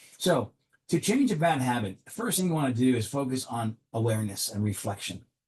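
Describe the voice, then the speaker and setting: At a moderate pace, a man talks with medium pitch, ordinary pitch variation and a somewhat breathy quality. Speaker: executive coach. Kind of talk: motivational talk to camera.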